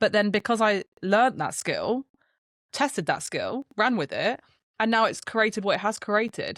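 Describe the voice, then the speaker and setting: A woman talks at a moderate pace. She has a British accent. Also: dry, close sound with no echo, very clean recording, silent background. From UK. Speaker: brand strategist. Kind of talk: casual chat.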